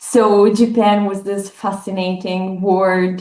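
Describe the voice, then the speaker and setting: A woman with an Italian accent. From northern Italy. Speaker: professor. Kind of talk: academic interview. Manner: hesitant, many fillers.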